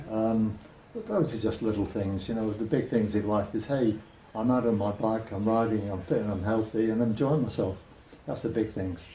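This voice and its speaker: A man speaks fairly quickly at a fairly low pitch with fairly even intonation. Room echo can be heard. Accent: British. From Britain. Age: 70s. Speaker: retired cyclist. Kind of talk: interview.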